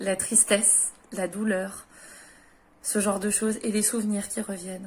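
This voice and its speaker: With a medium pitch and monotone, flat intonation, a woman speaks somewhat breathily at a fairly slow pace. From France. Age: 30s. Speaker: widow and former caregiver. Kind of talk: personal advice talk to camera. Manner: hesitant, many filler sounds.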